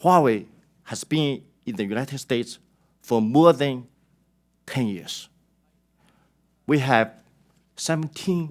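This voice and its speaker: In a Chinese accent, the speaker talks at a very slow pace with long, frequent pauses and ordinary pitch variation, on a very clean recording with a silent background. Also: man. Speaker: company executive testifying. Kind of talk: prepared testimony statement. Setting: congressional hearing. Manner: formal.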